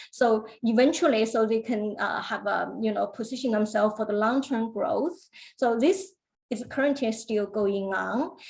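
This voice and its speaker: Her pitch is fairly high and varies in an ordinary way. The woman sounds somewhat breathy and speaks at a fairly slow pace. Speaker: government business funding officer. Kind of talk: webinar presentation. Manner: hesitant, many fillers.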